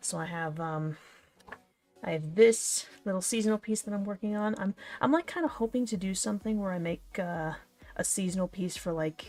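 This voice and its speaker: Music plays in the background. A woman with a medium pitch talks at a moderate pace with ordinary pitch variation. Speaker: streamer and artist. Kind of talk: casual livestream chat. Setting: livestream. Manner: casual, hesitant with fillers.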